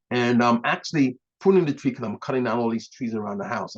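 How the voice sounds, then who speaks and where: Loud and at a very fast pace, a man speaks with vocal fry. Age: 60s. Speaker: health practitioner. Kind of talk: online health talk.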